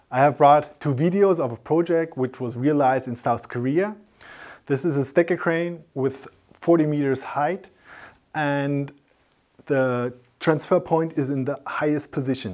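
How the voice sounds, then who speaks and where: The setting is quiet. A man speaks at a fairly slow pace, his pitch varying in an ordinary way. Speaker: presenter. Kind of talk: technical presentation. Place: studio.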